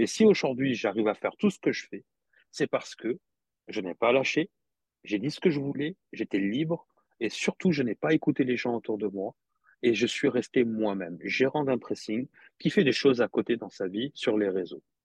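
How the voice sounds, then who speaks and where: An unremarkable speaking voice from a man, medium in pitch, with lively intonation at a moderate pace and a dry, close sound with no echo. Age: 40s. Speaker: dry cleaner manager and social media motivator. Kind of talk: casual interview chat.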